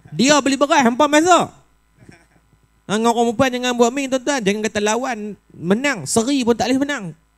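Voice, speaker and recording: A man with an extremely high voice talks at a fairly quick pace in an animated tone, his pitch varying in an ordinary way. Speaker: preacher. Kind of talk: mosque lecture. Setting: mosque with audience.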